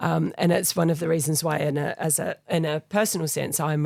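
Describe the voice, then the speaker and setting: A woman with a New Zealand accent talks at a fairly quick pace. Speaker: charity foundation leader. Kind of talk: interview. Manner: hesitant, many fillers.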